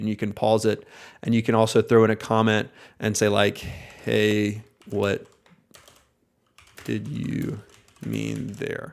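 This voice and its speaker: A man with an American accent, medium pitch and a fairly slow pace. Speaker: oral surgery practice owner. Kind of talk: tutorial. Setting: screen recording on computer.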